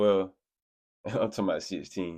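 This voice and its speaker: A man with a very deep, low pitch and a dark, mellow tone speaks at a very fast pace. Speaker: YouTube reaction creator. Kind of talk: casual reaction commentary.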